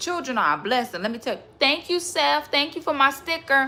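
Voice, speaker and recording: Raised and projected, a woman's high-pitched voice carries a bright, sharp tone and lively intonation at a moderate pace. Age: 20s. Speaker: livestreamer. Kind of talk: casual livestream chat. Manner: animated.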